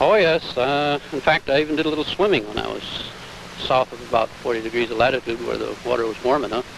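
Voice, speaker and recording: With noticeable background noise behind him, a man speaks very fast at medium pitch with ordinary pitch variation. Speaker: solo transatlantic sailor. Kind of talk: interview answer.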